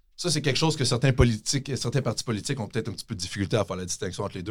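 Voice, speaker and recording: A man talks at a very fast pace with hardly any pauses. His voice is somewhat breathy. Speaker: tax specialist and professor. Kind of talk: casual interview. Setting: studio.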